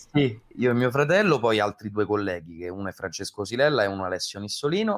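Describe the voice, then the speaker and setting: A plain, everyday voice moves at a fairly quick pace with hardly any pauses. The intonation is lively, and the recording is very clean with a silent background. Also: man, fairly low pitch for a man. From Rome, Italy. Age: 20s. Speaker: voice actor. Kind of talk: interview.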